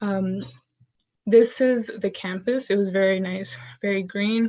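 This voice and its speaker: A woman speaks in an ordinary speaking voice at a medium pitch. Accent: American. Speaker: graduate student. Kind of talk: presentation on video call.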